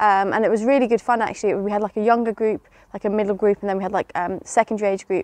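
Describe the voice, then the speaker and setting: A woman's very fast speech with a dry, close sound, no echo and a quiet background. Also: medium pitch for a woman, fairly even intonation. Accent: English. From England. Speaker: teacher. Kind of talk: testimony. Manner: hesitant, many fillers.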